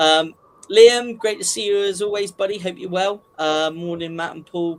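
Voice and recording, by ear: A man with a Dorset accent talks at a moderate pace, his pitch varying in an ordinary way. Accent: Dorset twang.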